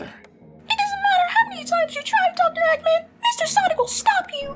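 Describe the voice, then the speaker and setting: With music in the background, a squeaky put-on character voice speaks at a moderate pace. Its pitch is extremely high. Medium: read story. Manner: polite, earnest.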